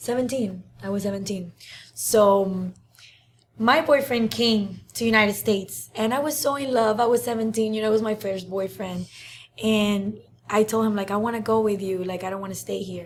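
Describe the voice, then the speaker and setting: With a Cuban accent, a woman speaks at a moderate pace in a somewhat breathy voice with a fairly high pitch. Her intonation is fairly even, and the recording is very clean with a silent background. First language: Spanish. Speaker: social media influencer. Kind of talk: interview. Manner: hesitant, many fillers.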